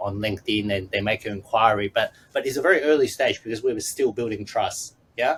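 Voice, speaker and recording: Noticeable background noise is present. Over it, a man speaks with a medium pitch. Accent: Australian. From Australia. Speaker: business consultant. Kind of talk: podcast interview. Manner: halting, many fillers.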